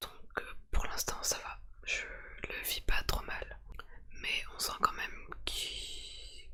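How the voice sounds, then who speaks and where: The voice whispers at a very slow pace, sounding strained. There is noticeable background noise. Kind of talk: casual talk to camera. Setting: ASMR-style home recording. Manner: quiet, restrained, trying to stay silent.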